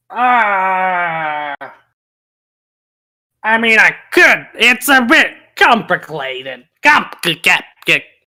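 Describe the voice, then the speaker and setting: A put-on character voice, whiny and fairly high in pitch, drags at a very slow pace with very wide pitch swings and long, frequent pauses. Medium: actual play. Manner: indignant, whiny, broken grammar.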